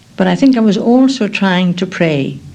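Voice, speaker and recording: Someone with an Irish accent speaks over noticeable background noise. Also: woman. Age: 70s. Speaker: nun. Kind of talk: radio documentary interview. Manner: halting.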